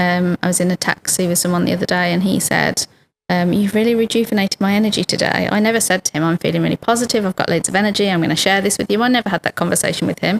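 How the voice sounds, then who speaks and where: A woman speaks very fast with a British accent, her pitch medium and her loudness very even. Her intonation stays fairly even, and the sound is dry and close with no echo. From United Kingdom. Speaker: lawyer and human rights activist. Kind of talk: podcast interview answer.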